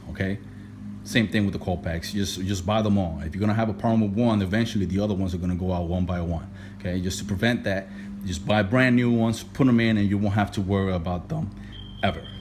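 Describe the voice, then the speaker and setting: The speaker has a strong non-native accent and talks at a very fast pace with fairly even intonation. Audible room echo and noticeable background noise are present. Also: man, fairly low pitch for a man. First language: not English. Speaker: DIY car repair youtuber. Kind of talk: tutorial. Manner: casual, repetitive with many fillers.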